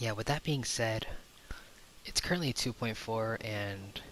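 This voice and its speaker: A soft-spoken man at fairly low pitch, moderate pace, and ordinary pitch variation. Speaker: gaming youtuber. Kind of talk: game commentary. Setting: home recording at night. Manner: quiet to avoid waking others.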